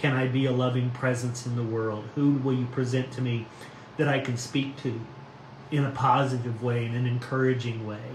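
A man speaks in a monotone, flat intonation, with audible room echo and light background noise. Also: moderate pace. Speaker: pastor. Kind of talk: devotional reading and reflection. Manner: warm, informal, friendly. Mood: calm, gentle, reflective. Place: home room. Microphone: phone near.

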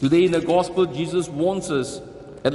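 The man's voice sits at a high pitch. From Singapore. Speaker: archbishop giving homily. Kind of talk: sermon. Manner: earnest, solemn, admonishing; measured, deliberate, preacherly. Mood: earnest, admonishing. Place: church.

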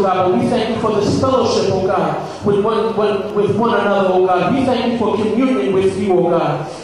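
Strong room echo and light background noise surround a man's high voice. He moves at a fairly quick pace with ordinary pitch variation. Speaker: minister leading prayer. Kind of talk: prayer. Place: hall.

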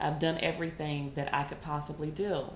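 Over light background noise and audible room echo, a woman speaks with a very deep, low pitch. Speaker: tarot reader. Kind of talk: tarot reading talk to viewers. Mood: calm, earnest. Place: home room. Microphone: phone near.

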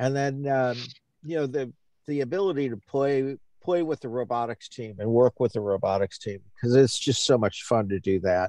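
A man's dark, mellow tone, dry with no echo, over a quiet background. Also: ordinary pitch variation, moderate pace. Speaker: podcast co-host. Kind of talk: casual chat. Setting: remote call from Indiana. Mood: relaxed, friendly. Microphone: video call.

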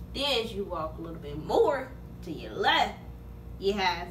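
Light background noise accompanies a woman talking at a moderate pace. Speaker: vlogger. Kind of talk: casual vlog chat. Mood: cheerful, playful. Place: home room. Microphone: phone near.

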